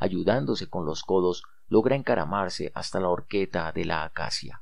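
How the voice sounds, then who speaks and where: Very deep and low, a man's voice carries a dramatic tone. His pitch sits far down for a man. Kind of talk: audiobook reading of a novel, literary narration. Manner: slow, measured, dramatic narration shifting to exclaiming interior monologue; reflective, melancholic, lyrical tone.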